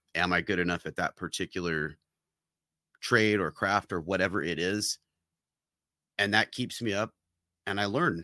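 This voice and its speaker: Very deep and low in pitch, a man with a bright, sharp tone speaks at a moderate pace with fairly even intonation and long, frequent pauses, the recording very clean, dry, and close, with a silent background and no echo. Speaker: podcast co-host, business owner. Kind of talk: casual chat.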